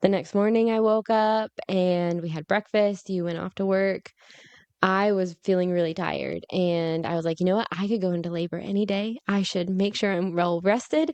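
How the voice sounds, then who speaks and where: It is an unremarkable speaking voice. It comes with an American accent. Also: woman, medium pitch for a woman, fairly even intonation, moderate pace. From United States. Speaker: podcast host. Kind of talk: casual chat.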